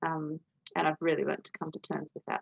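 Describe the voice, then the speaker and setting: This woman has an Australian accent and a very deep, low pitch. Her voice is recorded dry and close, with no echo. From Australia, New South Wales. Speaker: potter. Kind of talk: interview answer.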